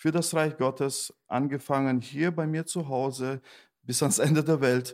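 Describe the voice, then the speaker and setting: On a very clean recording with a silent background, a man with an ordinary speaking voice talks at a fairly slow pace with ordinary pitch variation. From Germany, Detmold (East Westphalia, NRW). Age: 40s. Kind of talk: casual interview.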